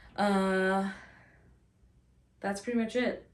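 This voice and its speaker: At a very slow pace, a woman talks in a medium pitch. Room echo is audible around her. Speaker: vlogger and new parent. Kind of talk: casual vlog. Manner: mumbling, slower today.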